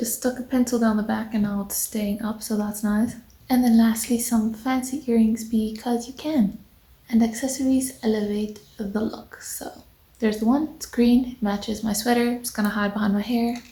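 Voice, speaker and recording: A woman whispers. Her pace is moderate. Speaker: beauty vlogger. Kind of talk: tutorial. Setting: at home on the couch. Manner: whispering; casual.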